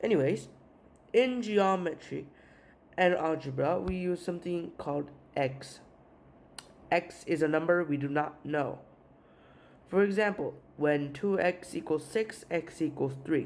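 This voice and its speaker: The speaker talks at a fairly slow pace in a Korean accent, with long, frequent pauses. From South Korea. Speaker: math teacher. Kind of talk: tutorial. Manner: halting, with filler uhs.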